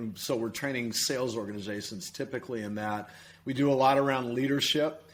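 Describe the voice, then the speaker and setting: A man talks in a plain, everyday voice at medium pitch. His pace is moderate and his intonation fairly even. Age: 60s. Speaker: performance coach. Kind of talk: podcast interview.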